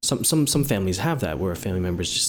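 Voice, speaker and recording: A man with a plain, everyday voice, fairly low in pitch, with lively intonation. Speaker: podcast co-host, UI/UX designer. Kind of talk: casual chat.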